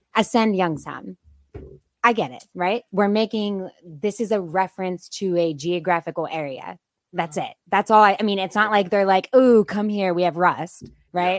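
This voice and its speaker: A woman with an unremarkable speaking voice talks at medium pitch and a moderate pace, with ordinary pitch variation and a dry, close sound with no echo. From Boardman, Ohio. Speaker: urban planning consultant. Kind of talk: casual chat.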